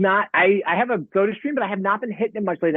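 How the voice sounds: A man at a fast pace, with a dry, close sound and no echo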